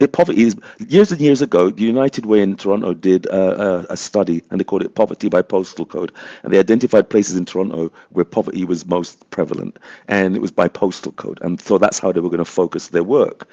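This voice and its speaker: Dry and close with no echo, a man's voice comes through dark and mellow at a fairly low pitch, moving at a very fast pace with ordinary pitch variation. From England. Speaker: community advocate, panelist. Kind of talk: panel discussion.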